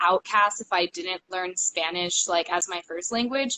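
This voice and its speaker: A woman with an ordinary speaking voice at a fairly slow pace, with ordinary pitch variation. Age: 20s. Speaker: stripper and cam worker. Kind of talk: casual interview chat. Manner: many fillers, um and like.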